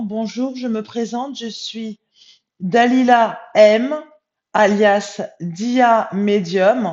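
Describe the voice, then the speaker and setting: Speaking at a very slow pace, a woman has a fairly high pitch with ordinary pitch variation. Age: 40s. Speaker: spiritual medium. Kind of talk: vlog monologue. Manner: hesitant, many filler sounds.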